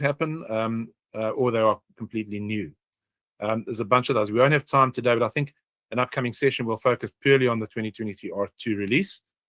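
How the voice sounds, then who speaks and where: Over a dry, close sound with no echo, a man speaks at a very fast pace and medium pitch with ordinary pitch variation. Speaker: software consultant presenting a webinar. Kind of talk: webinar presentation. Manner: many filler words and hesitations.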